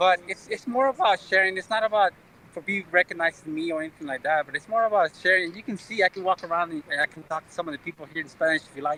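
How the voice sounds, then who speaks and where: Very fast and high-pitched, a man's voice has a bright, sharp tone, ordinary pitch variation, big swings in loudness, and a dry, close sound with no echo. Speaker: music fan live streamer. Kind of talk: casual chat.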